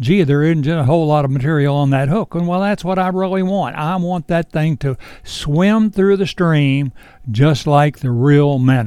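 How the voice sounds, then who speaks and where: In a Virginia accent, a man speaks at a fairly high pitch with ordinary pitch variation. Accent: Virginia Southern. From US South, Shenandoah Valley, Virginia. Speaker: fly shop owner and fishing instructor. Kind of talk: tutorial. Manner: casual, unhurried.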